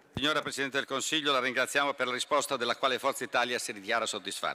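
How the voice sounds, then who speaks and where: A fairly high-pitched male voice, bright and sharp in tone. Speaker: member of parliament. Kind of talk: parliamentary oratory, prepared question. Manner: formal, polished, steady. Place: hall. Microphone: podium.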